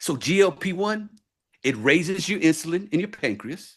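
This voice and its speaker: Animated in tone, a man is speaking. His pitch is high. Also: quiet background. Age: 60s. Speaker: wellness product presenter. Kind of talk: sales pitch. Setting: video call.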